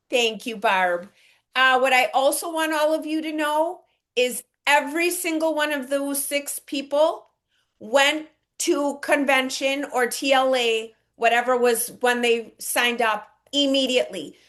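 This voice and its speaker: The background is quiet as a woman speaks at a fairly slow pace. Her high voice sounds energetic and enthusiastic. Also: ordinary pitch variation. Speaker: network marketing team leader. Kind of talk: online team training. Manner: energetic, enthusiastic.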